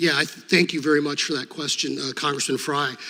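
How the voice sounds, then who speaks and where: A man is speaking. There is noticeable background noise throughout. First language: Serbo-Croatian. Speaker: former state attorney general, hearing witness. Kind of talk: congressional hearing testimony. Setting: committee hearing room.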